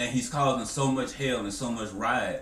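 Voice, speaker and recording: A man talks at a fairly slow pace with audible room echo. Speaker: anime discussion youtuber. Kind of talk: casual commentary monologue.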